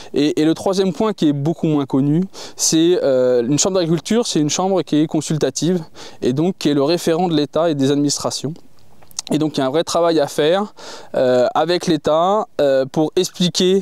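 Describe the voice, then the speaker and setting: A man with a fairly high pitch talks at a moderate pace with ordinary pitch variation. His loudness stays very even. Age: 40s. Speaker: farmer and agricultural union candidate. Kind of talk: interview. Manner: hesitant, many filler sounds.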